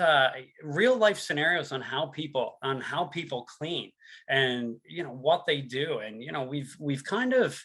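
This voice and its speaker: A fairly high-pitched man in a Newfoundland accent, with lively intonation and a fairly slow pace. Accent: Newfoundland accent, noticeable. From Newfoundland and Labrador, Canada. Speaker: sales and product presenter. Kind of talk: webinar presentation. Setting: online webinar.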